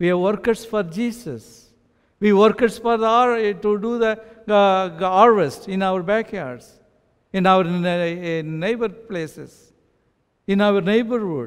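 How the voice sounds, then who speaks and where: A man's high voice in an Indian accent, very slow, with ordinary pitch variation over a quiet background. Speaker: pastor. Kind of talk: sermon. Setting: church. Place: church. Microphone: headset.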